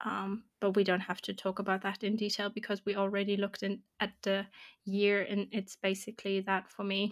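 A woman of medium pitch speaks at a fairly quick pace. Her intonation is monotone and flat. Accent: German. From Germany. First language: German. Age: 20s. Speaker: podcast host, psychologist and artist. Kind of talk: casual chat.

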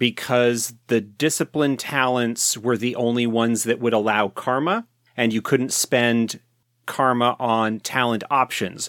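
A man at medium pitch speaks at a very slow pace. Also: dry, close sound with no echo, very clean recording, silent background. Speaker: podcast host. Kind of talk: casual chat.

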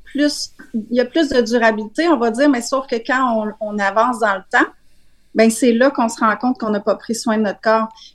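A woman speaks with a Quebec accent. Her pace is moderate. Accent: Québécois French. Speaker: wellness coach. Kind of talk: casual chat.

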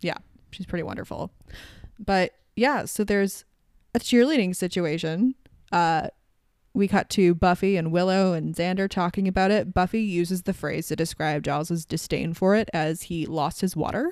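A woman with a slight Canadian accent, dry and close with no echo, on a very clean recording with a silent background. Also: medium pitch for a woman, ordinary pitch variation, moderate pace. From Canada. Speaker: podcast host. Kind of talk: casual chat.

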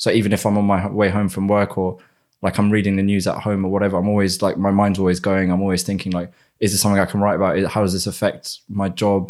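Over a silent background in a very clean recording, a man with a British accent and fairly low pitch talks at a very fast pace in a monotone, flat intonation with very even loudness. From England, Essex. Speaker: economist. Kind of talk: casual chat.

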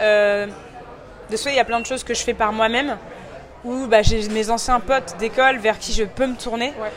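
A woman at a fairly high pitch and moderate pace, with noticeable background noise and audible room echo. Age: 20s. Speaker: fashion influencer. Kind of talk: casual interview. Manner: animated; hesitant with many fillers.

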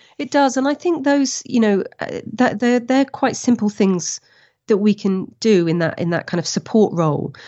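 Using a moderate pace, a woman with an English accent speaks in a fairly high pitch with very wide pitch swings. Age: 40s. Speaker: professional adventurer and speaker. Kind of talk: interview conversation.

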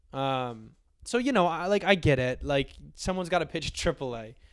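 A man speaks in a normal speaking voice at a moderate pace with lively intonation on a very clean recording with a silent background. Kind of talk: casual sports podcast banter.

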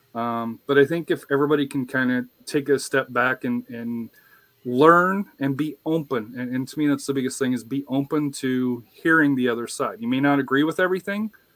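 In an unremarkable speaking voice, a man with an American accent talks fairly quickly at a fairly high pitch with ordinary pitch variation, the sound dry and close with no echo. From US West (western Colorado). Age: 50s. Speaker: soccer podcast host. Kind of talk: casual roundtable discussion.

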